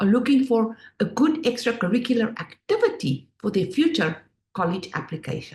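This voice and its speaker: Someone with a South African accent speaks at a moderate pace with very wide pitch swings. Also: woman. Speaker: finance education business owner, former Wall Street worker. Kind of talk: presentation.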